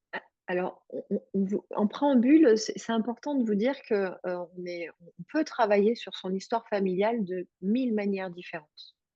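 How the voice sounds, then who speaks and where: A woman with a fairly high pitch and ordinary pitch variation speaks at a moderate pace, her loudness swinging widely. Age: 40s. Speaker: hypnotherapist and webinar co-host. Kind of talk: webinar presentation. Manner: hesitant, many fillers.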